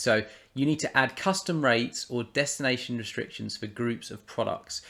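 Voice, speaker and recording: In a very clean recording with a silent background, a man with a British accent talks at a moderate pace and medium pitch, his intonation lively. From United Kingdom. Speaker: software tutorial presenter. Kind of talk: screen-recorded tutorial. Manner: casual, with fillers and restarts.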